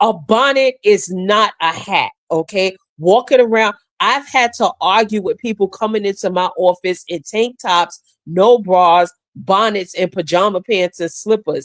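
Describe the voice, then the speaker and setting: A woman's medium-pitched voice with an American accent, an animated tone, ordinary pitch variation and a fairly slow pace, in a dry, close sound with no echo. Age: 60s. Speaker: podcast co-host. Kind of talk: heated debate.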